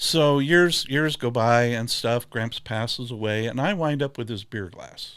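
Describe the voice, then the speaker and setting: A man speaks with a US Midwestern accent and ordinary pitch variation. Very clean recording, silent background. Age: 70s. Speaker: glassware maker. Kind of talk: casual chat.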